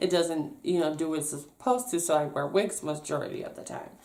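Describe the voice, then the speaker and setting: With audible room echo and noticeable background noise, a woman speaks in an animated tone at a fairly quick pace and a fairly low pitch. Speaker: vlogger. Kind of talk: casual storytime vlog. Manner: fast.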